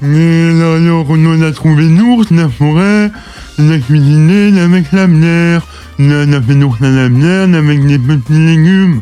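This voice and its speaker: Putting on a character voice, a man speaks at a moderate pace with a fairly high pitch while clear music plays in the background. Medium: audio drama.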